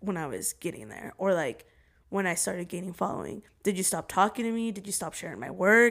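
On a very clean recording with a silent background, a woman speaks with vocal fry at a fairly quick pace, her medium pitch showing ordinary variation and her loudness swinging widely. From Oregon, US. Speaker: TikTok creator. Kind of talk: casual chat.

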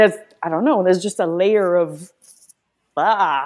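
A woman with an American accent speaks at a moderate pace, her medium pitch carried by lively intonation. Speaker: guest, video subject.

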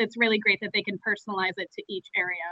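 Speaking with an American accent, a woman keeps her fairly high pitch monotone and flat. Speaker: communications manager. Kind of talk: interview, phone or remote.

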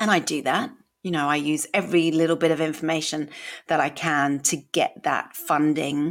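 A woman's very deep, low voice with a British accent and fairly even intonation. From UK. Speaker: podcast host living with MS. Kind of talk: personal storytelling monologue. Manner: humorous, uses comedy, occasionally swears; halting at times, word mix-ups.

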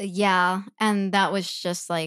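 A woman with a Midwestern accent and ordinary pitch variation is heard in a dry, close sound with no echo on a very clean recording with a silent background. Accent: American Midwest. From US Midwest, Chicago. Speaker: yoga teacher and eating disorder survivor. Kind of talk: personal testimony interview.

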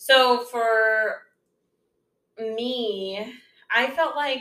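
A woman's raised, projected voice rings out high, bright and sharp with audible room echo. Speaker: podcast co-host, stepmother. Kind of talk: casual chat.

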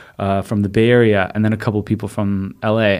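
A man's plain, everyday voice with an American accent, at a fairly low pitch and with fairly even intonation. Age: 30s. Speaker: sommelier. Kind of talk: casual chat.

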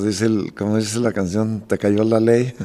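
This man has a fairly low voice and monotone, flat intonation. He talks at a moderate pace. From Michoacán, Mexico. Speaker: charro team owner and restaurateur. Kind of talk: casual chat. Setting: at his home.

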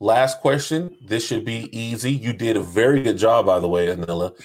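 This man has an unremarkable speaking voice with an American accent. His intonation is lively and his pace moderate. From US South, North Charleston, South Carolina. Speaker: podcast co-host. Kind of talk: casual chat.

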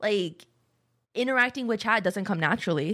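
A woman talks at a fairly quick pace at medium pitch, with ordinary pitch variation. It is an ordinary speaking voice on a very clean recording with a silent background. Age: 20s. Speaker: streamer and podcast co-host. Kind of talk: casual chat. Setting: live stream.

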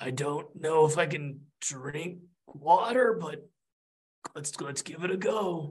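Putting on a raspy character voice, a man speaks very slowly at a fairly high pitch.

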